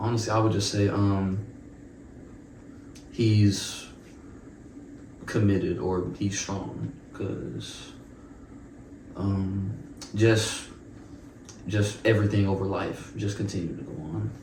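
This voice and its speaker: With an American accent and fairly even intonation, a man with a fairly low voice speaks very slowly, leaving long, frequent pauses amid audible room echo. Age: 20s. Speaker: university student. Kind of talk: casual interview chat. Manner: halting, many fillers and repetitions.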